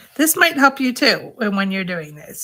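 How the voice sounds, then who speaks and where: Bright, sharp female voice with a Long Island accent, fairly high in pitch and full of very wide pitch swings, on a very clean recording with a silent background. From US Northeast, Long Island, New York. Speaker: craft tutor. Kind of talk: live craft tutorial. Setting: livestream at home. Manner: talkative, constant chatter.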